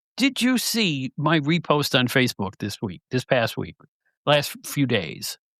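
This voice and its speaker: A man speaks at a fairly slow pace with vocal fry, his fairly high voice swinging very widely in pitch. The recording is very clean with a silent background and a dry, close sound with no echo. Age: old. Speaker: podcast host, former wrestling magazine editor. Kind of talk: casual chat. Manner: animated.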